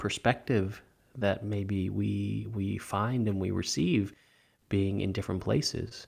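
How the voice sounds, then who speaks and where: A man with an American accent, a normal speaking voice, fairly low in pitch and at a fairly slow pace, on a very clean recording with a silent background. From California. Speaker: podcast host, meditation teacher. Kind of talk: interview; scripted narration.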